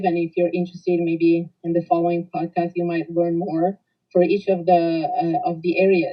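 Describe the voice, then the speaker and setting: Using an Italian accent, a woman talks in a flat monotone at a fairly low pitch and a moderate pace. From Italy. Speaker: corporate coach. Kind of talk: podcast introduction. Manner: halting, many fillers.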